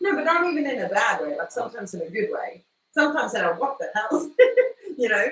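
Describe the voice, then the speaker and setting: Speaking at a very fast pace, a woman uses a high pitch. It swings up and down very widely. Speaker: podcast co-host. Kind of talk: casual chat.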